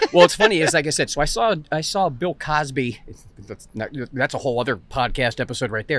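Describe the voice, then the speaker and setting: Talking at a fairly quick pace, a man uses a fairly high pitch and lively intonation. He has an American accent. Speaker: stand-up comedian. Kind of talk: casual chat. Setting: interview. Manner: fast.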